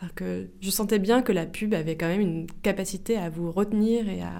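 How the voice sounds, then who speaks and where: A dark, mellow voice moves at a moderate pace with audible room echo. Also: woman. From France, Melun (Seine-et-Marne). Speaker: video artist. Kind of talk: interview. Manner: halting, with frequent repetitions and fillers.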